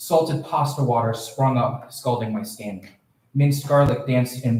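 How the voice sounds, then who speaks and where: Audible room echo surrounds this man's voice. He keeps a moderate pace and fairly even intonation. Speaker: student poet. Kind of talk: poetry reading. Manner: loud.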